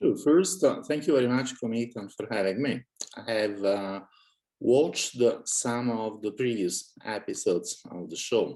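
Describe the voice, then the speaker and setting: With an Italian accent, a man speaks in a dark, mellow tone with lively intonation. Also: medium pitch for a man, moderate pace. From Italy. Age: 60s. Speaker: author and cosmist, guest. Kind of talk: casual interview chat. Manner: hesitant, many fillers.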